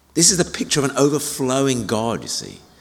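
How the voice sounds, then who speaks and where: A man's medium-pitched voice with vocal fry, lively intonation, a moderate pace and audible room echo. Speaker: senior minister. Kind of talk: sermon. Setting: church.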